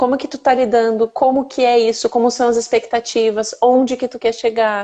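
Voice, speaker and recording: A woman speaks with a southern Brazilian accent, her tone dark and mellow and her pitch high. Her intonation stays monotone and flat at a moderate pace. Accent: southern Brazilian (gaúcho). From interior of Rio Grande do Sul, Brazil. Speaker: mothers' mentor. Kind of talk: casual chat.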